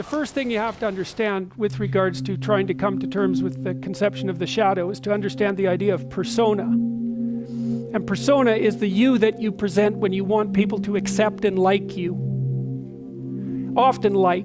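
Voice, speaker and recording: A man talking with hardly any pauses over background music. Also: moderate pace. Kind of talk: lecture.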